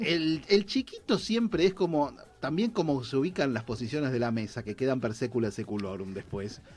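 A man in a Rioplatense accent talks at a moderate pace with hardly any pauses, his pitch fairly high. His tone is animated and his pitch swings very widely. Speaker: radio show host. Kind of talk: casual chat.

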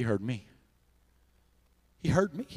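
The man sounds animated, with a medium pitch. He speaks at a moderate pace. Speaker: preacher. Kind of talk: sermon. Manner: loud.

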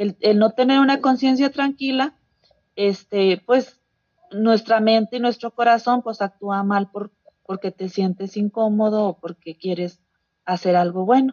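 Her voice is an unremarkable speaking voice: a woman talking at a fairly slow pace in a fairly high pitch with ordinary pitch variation. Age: 40s. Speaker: congregation member. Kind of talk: Bible study.

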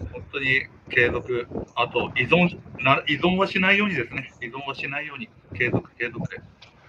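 Noticeable background noise behind a man with fairly high pitch, a moderate pace and lively intonation. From Fukushima, Minamisoma (Japan, Tohoku). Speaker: miso and soy sauce maker, business owner. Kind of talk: casual interview.

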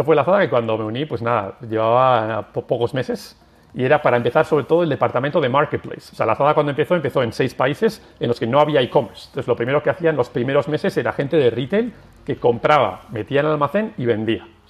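Very fast, fairly high male voice with lively intonation. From Basque Country, San Sebastián. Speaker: tech company executive. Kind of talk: interview. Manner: halting.

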